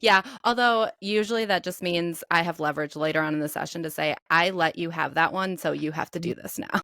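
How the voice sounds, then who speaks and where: A woman with a Midwestern accent talks at a fairly quick pace with hardly any pauses, her fairly low voice bright and sharp in tone, with ordinary pitch variation and a dry, close sound with no echo. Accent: mild Midwestern. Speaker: personal trainer, podcast co-host. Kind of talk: casual chat.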